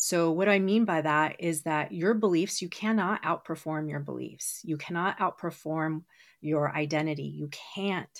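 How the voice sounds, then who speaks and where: A woman speaks in an ordinary speaking voice with a fairly low pitch and ordinary pitch variation. The recording is very clean, with a silent background. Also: moderate pace. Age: 40s. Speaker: hypnotherapist and brain training expert. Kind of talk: interview.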